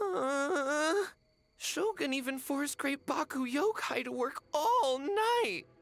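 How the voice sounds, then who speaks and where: In a high-pitched, put-on character voice, the speaker goes at a fairly slow pace. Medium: video game. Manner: stuttering, nervous.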